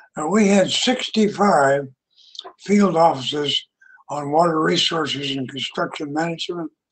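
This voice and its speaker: A man with an American accent speaks at a fairly slow pace in a high voice with ordinary pitch variation, set against a quiet background. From US West, Utah. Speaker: retired engineer and club speaker; speaker. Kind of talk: prepared speech. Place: home room. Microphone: headset.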